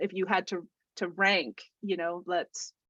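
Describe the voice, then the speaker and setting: A woman speaks loudly at a medium pitch with a bright, sharp tone. The sound is dry and close, with no echo. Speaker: online session host. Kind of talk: casual talk in a group video call. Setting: video call. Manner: hesitant, many fillers and restarts.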